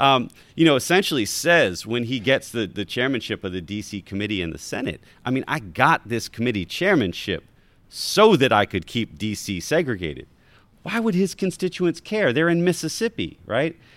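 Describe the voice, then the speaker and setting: A man's medium-pitched voice with vocal fry and very wide pitch swings, at a moderate pace, in a very clean recording with a silent background. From Baltimore. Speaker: history professor and author. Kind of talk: live talk with audience.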